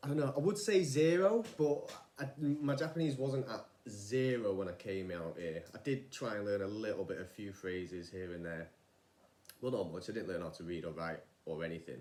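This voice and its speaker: A man with a Manchester accent speaks at a moderate pace in a fairly low voice, his pitch swinging very widely against audible room echo. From northern England, Manchester. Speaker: vlogger, former rice farmer. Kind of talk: casual vlog monologue. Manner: informal, hesitant with fillers.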